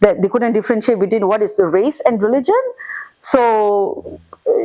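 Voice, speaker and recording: Speaking in a Singaporean accent, a woman has a fairly high pitch. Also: ordinary pitch variation, moderate pace. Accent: Singaporean English, light. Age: 40s. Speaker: immigrant interviewee. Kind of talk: casual interview chat. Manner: animated.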